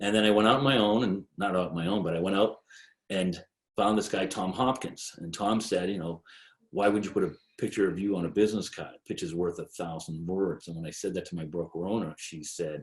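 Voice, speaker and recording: On a very clean recording with a silent background, a man with an American accent talks fairly quickly at a fairly low pitch with ordinary pitch variation. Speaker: real estate agent. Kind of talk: sales presentation. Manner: fast.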